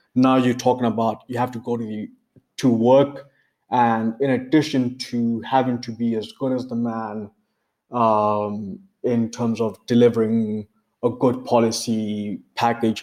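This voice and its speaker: On a very clean recording with a silent background, a man speaks at medium pitch and a fairly slow pace in a monotone, flat intonation. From Botswana. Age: 40s. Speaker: management consultant. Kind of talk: podcast interview.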